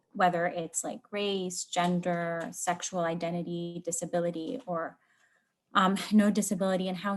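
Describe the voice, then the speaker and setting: A woman speaks at a fairly slow pace. Her pitch is fairly low, with ordinary variation. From Lebanon. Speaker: workshop participant. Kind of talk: group discussion report-back.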